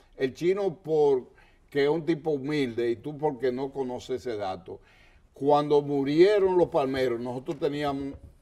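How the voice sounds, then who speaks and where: Fairly high in pitch, a man speaks with ordinary pitch variation. His tone is dark and mellow. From Dominican Republic, La Vega; Dominican Republic. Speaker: history TV show host. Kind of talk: TV interview. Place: studio. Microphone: lapel.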